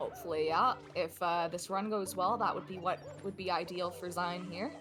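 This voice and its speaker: At a moderate pace and with fairly even intonation, the voice plays over music in the background. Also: woman, medium pitch for a woman. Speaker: esports co-commentator. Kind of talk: live commentary. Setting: live stream.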